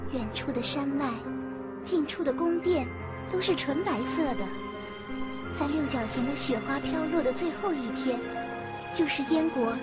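Loud music plays in the background. The speaker leaves long, frequent pauses. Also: woman. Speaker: voice actor. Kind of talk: story narration. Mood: gentle wistful storytelling. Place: booth. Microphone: studio mic.

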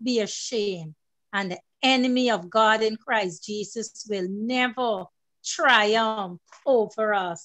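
Against a quiet background, a woman with a fairly high pitch and ordinary pitch variation speaks at a very slow pace. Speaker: program moderator. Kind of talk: church program hosting. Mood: fervent, worshipful. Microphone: video call.

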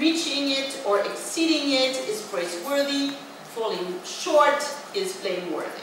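Speaking at a moderate pace with very wide pitch swings, the voice comes through strong room echo and noticeable background noise. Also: woman. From France, working-class regional background. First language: French. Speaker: professor. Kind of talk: lecture. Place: hall.

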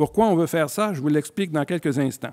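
Against a quiet background, a man speaks at a fairly high pitch with ordinary pitch variation. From Quebec. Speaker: physician and scleroderma researcher; physician lecturer. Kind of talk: lecture. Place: hall. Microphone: podium.

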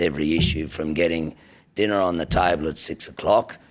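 Moderate pace, fairly even intonation, and an Australian accent. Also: man. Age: 50s. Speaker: government minister. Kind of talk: political speech. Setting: stage with audience. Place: hall. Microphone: podium.

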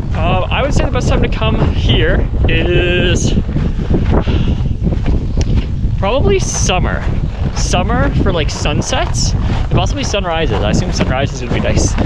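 Over loud background noise, a man speaks at a fairly slow pace with long, frequent pauses in a dry sound with no echo. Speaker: vlogger. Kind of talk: casual vlog chat. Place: open country. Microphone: phone near.

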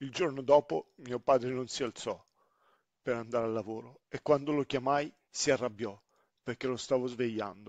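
The recording is dry and close with no echo. A man with an unremarkable speaking voice talks at medium pitch with fairly even intonation. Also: quiet background. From Sicily, then grew up in northern Italy. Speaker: storyteller, father. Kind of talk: personal testimony narration.

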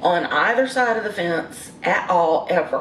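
A woman speaks with audible room echo. Light background noise sits behind her. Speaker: vlogger. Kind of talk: casual vlog chat. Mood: frustrated, defensive. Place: home room. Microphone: phone near.

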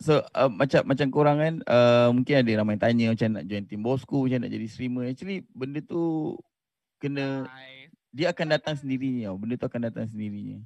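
A man talks at a fairly quick pace and medium pitch, with ordinary pitch variation and big swings in loudness. The sound is dry with no echo, over light background noise. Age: 30s. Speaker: game streamer and team manager; game streamer. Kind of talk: experience sharing talk. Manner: halting. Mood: relaxed, friendly. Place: studio. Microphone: studio mic.

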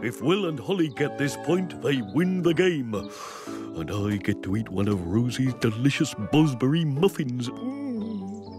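Over loud music in the background, a man uses a cartoonish character voice at a medium pitch and a fairly slow pace. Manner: hesitant, slow.

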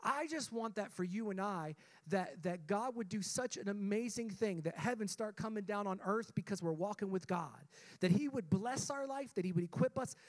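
With a quiet background, a man speaks at a moderate pace and high pitch, his pitch varying in an ordinary way. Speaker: pastor. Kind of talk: sermon. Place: church. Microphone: handheld.

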